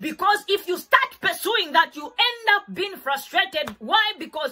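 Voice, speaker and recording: The voice belongs to a woman. She speaks in a raised, projected way. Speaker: faith teacher. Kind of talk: sermon. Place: home room.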